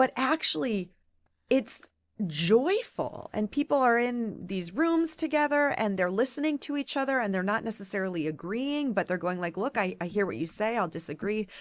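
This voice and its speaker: A woman with a Midwestern accent talks at a moderate pace, her fairly high pitch moving through very wide swings. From US Midwest, Michigan (Ann Arbor). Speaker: political radio reporter. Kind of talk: podcast interview. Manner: animated.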